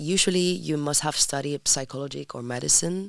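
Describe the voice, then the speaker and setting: A woman's fairly quick speech in a Spanish accent, with ordinary pitch variation. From Spain, Madrid. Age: 20s. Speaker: sexology student. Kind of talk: podcast interview. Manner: halting.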